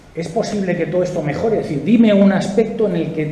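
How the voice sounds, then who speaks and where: Clear background noise and a noticeable room echo accompany a man speaking. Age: 60s. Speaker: political activist and speaker. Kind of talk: political interview.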